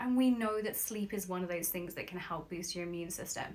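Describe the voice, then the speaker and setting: A woman speaks with an English accent. Her tone is upbeat and her intonation lively. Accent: English accent noticeable. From London, England. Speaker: nutritionist and sleep expert. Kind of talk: sponsored live stream chat. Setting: live video stream from home bedroom. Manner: upbeat, chatty.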